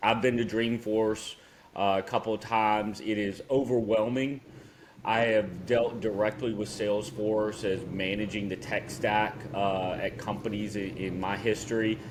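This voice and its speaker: A man talks with a Southern US accent at a fairly slow pace. His pitch is fairly low and his intonation fairly even. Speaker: podcast co-host. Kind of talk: casual chat.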